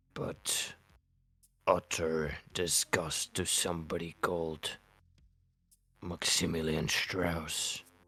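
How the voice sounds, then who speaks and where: A man puts on a character voice, very deep and low in pitch, moving at a very slow pace with long, frequent pauses. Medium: actual play. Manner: halting, earnest, slightly formal.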